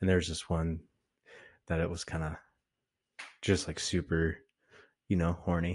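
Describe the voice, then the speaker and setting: A man speaks with a very deep, low pitch and monotone, flat intonation. Long, frequent pauses break up his speech over a quiet background. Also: moderate pace. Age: 20. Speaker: podcast co-host, blue collar worker. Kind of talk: casual chat.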